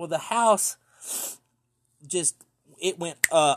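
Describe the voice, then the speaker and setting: A man with an East Tennessee accent speaks at a fairly slow pace and fairly high pitch. The recording is very clean, with a silent background. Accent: Southern US (East Tennessee). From US South, East Tennessee. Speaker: podcast storyteller. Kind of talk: storytelling monologue.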